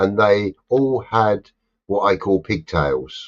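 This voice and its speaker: Someone speaks at a very slow pace in a London accent. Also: man. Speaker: live stream host. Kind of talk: casual chat. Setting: live stream. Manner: animated.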